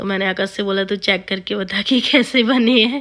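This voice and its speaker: A woman's bright, sharp voice at a medium pitch, with fairly even intonation and a fairly slow pace. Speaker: family vlogger. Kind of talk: vlog voiceover narration. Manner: casual, conversational; halting, self-correcting.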